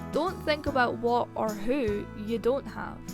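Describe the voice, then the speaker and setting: Background music plays while a woman talks. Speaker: YouTuber. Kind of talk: motivational self-help narration.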